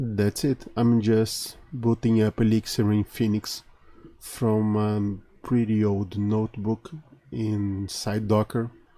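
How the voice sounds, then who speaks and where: A man's fairly low, dark, mellow voice with a Portuguese accent, very slow, monotone and flat, at very even loudness. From Brazil. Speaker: conference speaker. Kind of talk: recorded tech talk. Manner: halting, many fillers.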